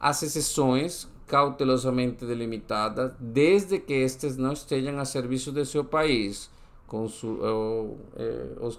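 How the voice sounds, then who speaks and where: Speaking very slowly in a Spanish accent, a man keeps a medium pitch with ordinary pitch variation. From Colombia. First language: Spanish (speaking Portuguese). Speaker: exam-prep tutor. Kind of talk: tutorial. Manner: halting, with frequent self-corrections.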